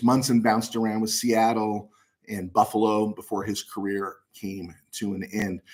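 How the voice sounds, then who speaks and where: A man speaks at a medium pitch. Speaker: sports talk show host. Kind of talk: live sports talk show. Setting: live stream.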